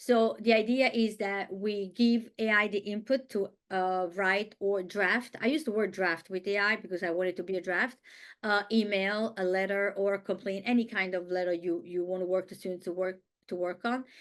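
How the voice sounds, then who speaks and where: Against a quiet background, a woman with an Italian accent speaks at a moderate pace and medium pitch with fairly even intonation. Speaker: Italian language teacher. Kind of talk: webinar presentation. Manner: halting.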